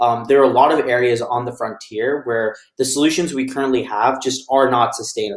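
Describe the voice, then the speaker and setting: With an American accent, a man speaks in a normal speaking voice at a medium pitch, a fairly quick pace and fairly even intonation. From United States. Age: 20s. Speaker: author and panelist. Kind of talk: panel discussion opening remarks.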